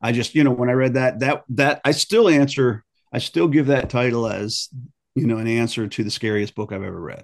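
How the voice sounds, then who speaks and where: With an American accent, a man talks at a fairly quick pace in a medium pitch with ordinary pitch variation, in an unremarkable speaking voice. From Maryland, US. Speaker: author. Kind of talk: interview.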